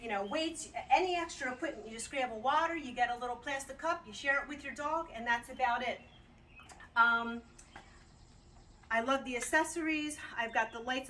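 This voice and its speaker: A woman speaks in a raised, projected voice at a fairly quick pace. Her pitch is high, with ordinary pitch variation. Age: 60s. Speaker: customer giving a product review. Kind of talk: casual video testimonial. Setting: outdoors. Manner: chatty, with fillers and repeats.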